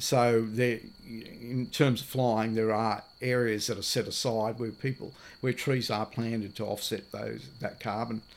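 On a very clean recording with a silent background, the speaker uses an Australian accent at a fairly slow pace. The intonation stays monotone and flat. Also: man, medium pitch for a man. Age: 60s. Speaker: off-grid landowner and river paddler. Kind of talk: casual interview. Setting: recorded at a wilderness lodge. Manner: halting, many fillers.

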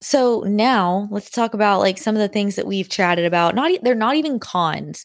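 A woman's unremarkable speaking voice, medium pitch, ordinary pitch variation, moderate pace, hardly any pauses, very clean recording with a silent background. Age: 20s. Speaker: podcast co-host, married couple. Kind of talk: casual chat.

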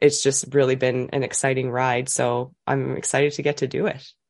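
A woman talks with fairly even intonation at a moderate pace. The background is quiet. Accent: Canadian Maritime. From New Brunswick, Canada. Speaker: childbirth educator. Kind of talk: interview.

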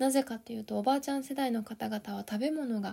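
Moving at a fairly quick pace, a woman speaks high in pitch with a dark, mellow tone and ordinary pitch variation. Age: 30s. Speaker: life coach podcaster. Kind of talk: solo podcast talk. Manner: polite.

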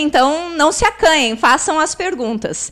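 A woman speaks in a southern Brazilian accent. Her pitch swings very widely at a moderate pace. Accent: southern Brazilian (gaúcho) Portuguese. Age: 40s. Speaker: podcast host. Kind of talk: interview. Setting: live-streamed podcast in coworking space.

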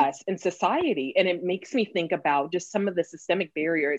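A woman speaks in a normal speaking voice with an American accent, her medium pitch carried by lively intonation at a fairly quick pace. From California. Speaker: podcast host. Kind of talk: interview.

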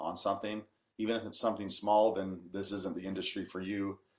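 Man with an American accent and a fairly low pitch. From Washington State, US (Kelso). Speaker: country singer-songwriter. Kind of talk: interview.

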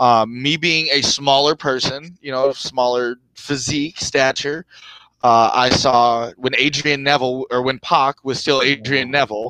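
In an American accent, a man with a medium pitch and a bright, sharp tone speaks at a fairly slow pace with fairly even intonation, recorded with a dry, close sound and no echo. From US South, Georgia. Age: young. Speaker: professional wrestler. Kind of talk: casual interview.

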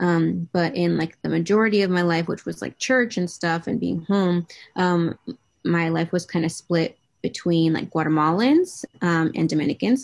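With an American accent, the speaker has an ordinary speaking voice, ordinary pitch variation and a moderate pace. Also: woman, fairly low pitch for a woman. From New England, US. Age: 20s. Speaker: social media advocate. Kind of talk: interview. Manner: casual, many fillers.

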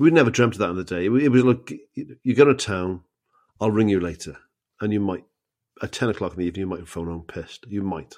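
A man with a Cardiff accent at a very fast pace, with lively intonation, big swings in loudness and long, frequent pauses, against a quiet background. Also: fairly low pitch for a man. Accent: Welsh (Cardiff). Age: 50s. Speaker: comedian. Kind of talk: casual chat.

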